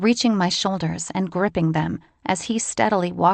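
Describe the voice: Plain reading aloud. The pitch varies in an ordinary way.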